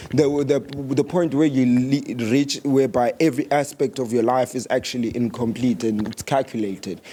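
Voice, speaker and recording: There is noticeable background noise behind a man speaking at medium pitch. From South Africa. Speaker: podcast host. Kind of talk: casual chat.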